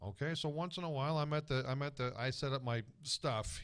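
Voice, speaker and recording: An animated tone with an American accent over a quiet background. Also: man. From New Jersey (East Brunswick). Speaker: guest. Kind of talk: casual chat.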